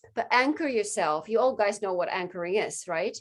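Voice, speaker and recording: Against a quiet background, a woman speaks fairly quickly in a fairly high voice with lively intonation. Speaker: sales coach. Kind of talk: group coaching session. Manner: fast.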